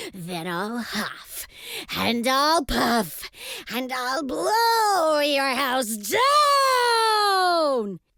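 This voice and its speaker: A woman uses a put-on character voice with a high pitch. Her delivery is very slow. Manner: loud, roaring.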